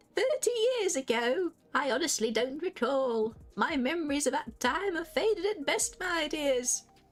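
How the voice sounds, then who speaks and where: A female-sounding, put-on character voice with a high pitch moves at a moderate pace. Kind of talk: polite, genteel. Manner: vague, courteous, forgetful.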